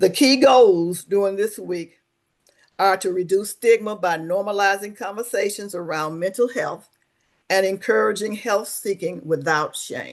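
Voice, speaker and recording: Against a quiet background, the speaker talks fairly slowly in a Southern US accent. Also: woman. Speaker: webinar host, social service coordinator. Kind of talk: webinar presentation. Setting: online webinar.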